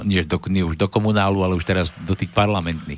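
Over a very clean recording with a silent background, a man with a very deep, low pitch talks at a fairly quick pace with fairly even intonation. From Slovakia, Trenčín. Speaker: radio host. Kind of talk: casual talk show hosting.

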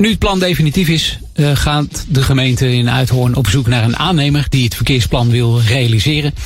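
With music in the background, a man at medium pitch talks at a moderate pace with hardly any pauses, ordinary pitch variation and very even loudness. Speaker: local news reader. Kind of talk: news reading. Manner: formal, measured.

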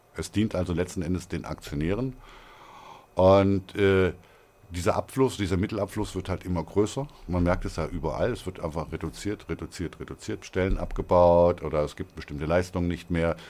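A man speaks at a moderate pace. His pitch is very deep and low, his tone dark and mellow. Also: ordinary pitch variation. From northern Hesse, Germany (near Kassel). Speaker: regional currency founder. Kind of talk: interview. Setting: studio. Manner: hesitant, many fillers.

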